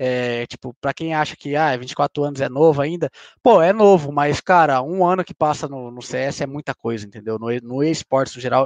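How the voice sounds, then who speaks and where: With an unremarkable speaking voice, a man talks at a moderate pace and a fairly high pitch, with ordinary pitch variation and big swings in loudness, in a dry, close sound with no echo and a quiet background. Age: 20s. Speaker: professional esports player. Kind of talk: casual chat.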